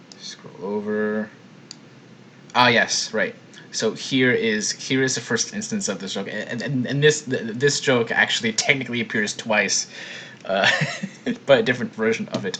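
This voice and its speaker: Over noticeable background noise, a man at a medium pitch talks with long, frequent pauses. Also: ordinary pitch variation, moderate pace. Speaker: video editor. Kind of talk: editor commentary on editing process. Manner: stuttering, tripping over words.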